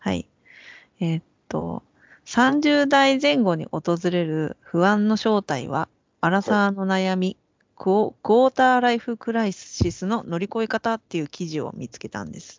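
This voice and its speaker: A woman with an unremarkable speaking voice, medium pitch, moderate pace, lively intonation and big swings in loudness. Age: 40s. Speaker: podcast co-host, creator. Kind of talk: casual chat.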